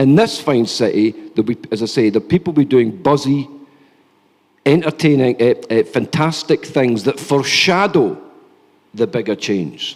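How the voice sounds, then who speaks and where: Lively intonation carries a man's fairly high voice in a Scottish accent. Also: moderate pace. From Scotland. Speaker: think tank policy lead, panelist. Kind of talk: conference panel talk. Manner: animated.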